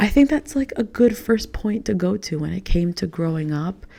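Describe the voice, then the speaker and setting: A woman with a New York accent speaks at a medium pitch in a dark, mellow tone. Her intonation is lively and her voice somewhat breathy. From New York (Queens, Long Island). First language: Spanish. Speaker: podcast host. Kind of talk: casual monologue. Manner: casual, filler-heavy.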